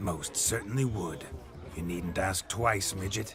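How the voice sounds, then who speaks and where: A man puts on a raspy character voice. He speaks at a fairly slow pace against clear background noise. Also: fairly low pitch for a man. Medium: video game. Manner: boisterous, showy, flirtatious.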